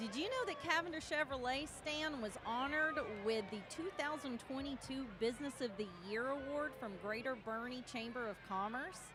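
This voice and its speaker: With a Texan accent, a woman talks at a moderate pace in a high voice with ordinary pitch variation, over noticeable background noise. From Texas, New Braunfels. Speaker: parade commentator. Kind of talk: live commentary.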